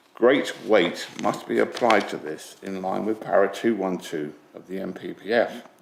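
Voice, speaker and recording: A fairly low-pitched man's voice with big swings in loudness over noticeable background noise. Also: ordinary pitch variation, moderate pace. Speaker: public speaker at planning meeting. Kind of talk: prepared statement to committee. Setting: council committee meeting.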